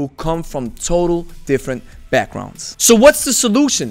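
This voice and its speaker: In a quiet background, a man is talking. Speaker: kettlebell coach. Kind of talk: commentary. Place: home room. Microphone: studio mic.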